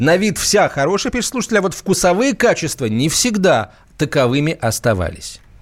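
At a moderate pace, a man speaks in a high voice that makes very wide pitch swings. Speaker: radio host. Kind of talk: live radio talk show. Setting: studio. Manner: animated.

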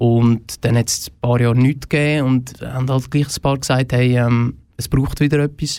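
This man talks at a moderate pace with fairly even intonation. His voice sits at medium pitch and has a dark, mellow tone. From Switzerland, Fricktal (Aargau). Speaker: festival organizer. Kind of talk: radio interview.

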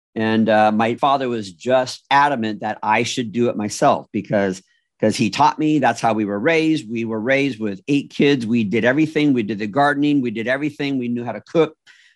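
Against a quiet background, a man with a medium-pitched voice talks at a fairly quick pace. He uses ordinary pitch variation and hardly any pauses. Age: 60s. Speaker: podcast host. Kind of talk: interview. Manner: halting.

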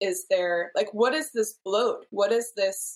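A woman speaks with an American accent. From Seattle, US Pacific Northwest. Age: 40s. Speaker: client, mother. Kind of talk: casual interview.

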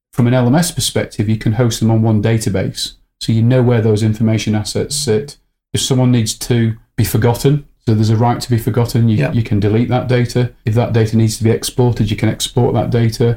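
A man with a medium-pitched voice speaks at a fairly quick pace with very even loudness and fairly even intonation, with music playing in the background. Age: 50s. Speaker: learning technology company CEO. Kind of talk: interview.

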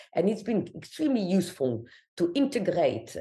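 A dark, mellow tone with lively intonation, a non-native accent, a fairly quick pace and a quiet background. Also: woman. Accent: foreign. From Algeria. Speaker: immunology professor. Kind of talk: interview. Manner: halting, many repetitions.

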